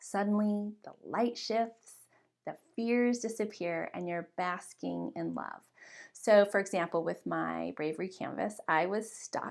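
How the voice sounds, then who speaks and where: A woman speaks in an energetic tone. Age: 40s. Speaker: workshop leader. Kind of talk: online workshop talk. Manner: energetic, expressive.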